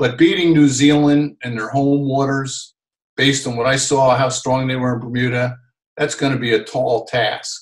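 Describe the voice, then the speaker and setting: With an American accent, the speaker keeps a moderate pace and fairly even intonation over a quiet background. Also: man. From New Jersey, US. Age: 60s. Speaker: sailor and TV sailing commentator; TV sailing commentator. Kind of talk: interview. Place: home room. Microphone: video call.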